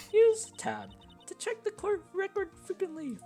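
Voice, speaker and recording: A man uses a put-on character voice at an extremely high pitch. He speaks at a moderate pace over clear music in the background. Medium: role play.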